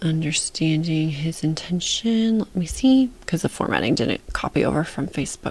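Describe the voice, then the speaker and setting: This woman has a very deep, low pitch. She is soft-spoken. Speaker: book editor. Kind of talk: tutorial.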